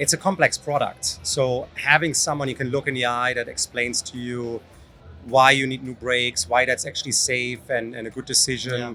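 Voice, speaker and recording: Music plays in the background as a man speaks with a German accent. His voice has a medium pitch, ordinary pitch variation and a moderate pace. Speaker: company founder and CEO. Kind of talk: interview. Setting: trade show stand.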